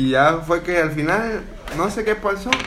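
Over noticeable background noise and audible room echo, a man talks in a high pitch with lively intonation. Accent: Mexican. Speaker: podcast host. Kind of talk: casual chat.

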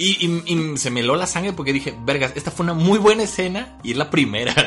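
Speaking in a Mexican accent at a very fast pace with lively intonation, the voice comes over noticeable background noise. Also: man. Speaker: podcast host. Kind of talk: casual chat.

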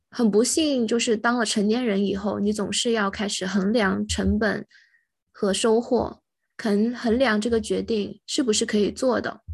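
A woman with a fairly high, somewhat breathy voice speaks at a fairly slow pace with fairly even intonation against a quiet background. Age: young. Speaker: podcast co-host. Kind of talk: casual chat.

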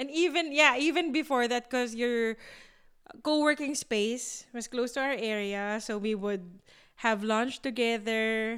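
Speaking at a fairly slow pace with ordinary pitch variation, a woman with a high pitch and a Filipino accent is heard on a very clean recording with a silent background. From Philippines. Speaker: podcast co-host. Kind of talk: casual chat.

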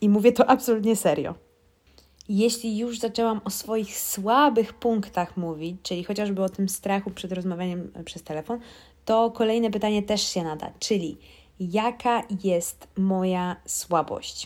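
A woman's medium-pitched voice, fairly slow in pace, with ordinary pitch variation. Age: 30s. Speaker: podcast host. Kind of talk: casual monologue.

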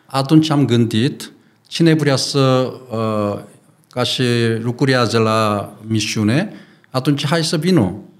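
Very slowly and in a Korean accent, a man talks at a medium pitch with ordinary pitch variation and audible room echo. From South Korea. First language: Korean (speaking Romanian). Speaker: pastor and missionary. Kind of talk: interview. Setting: studio. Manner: halting, broken Romanian with fillers.

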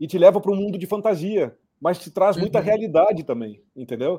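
A man talks at a fairly quick pace with a high pitch. His tone is dark and mellow. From Rio Grande do Sul, Brazil (Cruz Alta). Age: 50s. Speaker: career and employability consultant. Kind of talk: casual live-stream interview.

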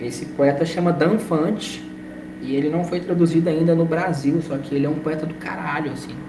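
Over noticeable background noise and audible room echo, a man speaks at a moderate pace in a fairly high pitch with fairly even intonation. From Brazil, Minas Gerais (Belo Horizonte). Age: 20s. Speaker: writer and lawyer. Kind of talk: interview.

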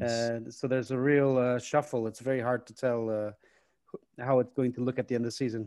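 With a dark, mellow tone and medium pitch, a man speaks at a moderate pace in a monotone, flat intonation, his loudness swinging widely. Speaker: podcast host and football analysis consultant. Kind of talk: interview.

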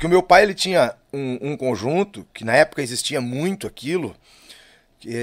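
A man talks with lively intonation at a fairly high pitch. It is a normal speaking voice. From southern Brazil (Lages, Santa Catarina). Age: 40s. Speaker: musician, singer and guitarist. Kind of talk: casual interview chat.

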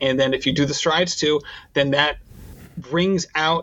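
Moderate speed, fairly even intonation, an ordinary speaking voice. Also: man. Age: 40s. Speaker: running podcast host. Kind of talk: interview.

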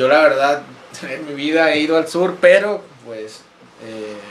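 Amid audible room echo and noticeable background noise, a man talks with a fairly high pitch and ordinary pitch variation. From Monclova, Coahuila, northern Mexico. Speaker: podcast host. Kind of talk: casual chat. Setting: small home studio.

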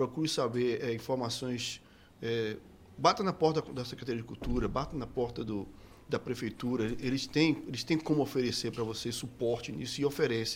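At a moderate pace, the speaker uses a plain, everyday voice with ordinary pitch variation. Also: man, medium pitch for a man. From Bahia, Brazil (Salvador). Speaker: musician. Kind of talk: casual interview chat.

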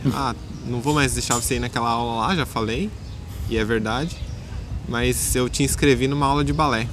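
There is noticeable background noise and audible room echo as a man of medium pitch speaks at a moderate pace with ordinary pitch variation and long, frequent pauses. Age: 20s. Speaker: ballet dancer and dance teacher. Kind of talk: casual interview. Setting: outdoors in a park.

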